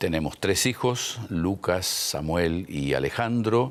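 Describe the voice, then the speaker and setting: Pitched fairly low, a man speaks at a very slow pace with lively intonation. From Argentina. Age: 60s. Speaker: pastor and missionary. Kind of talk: interview. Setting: TV studio.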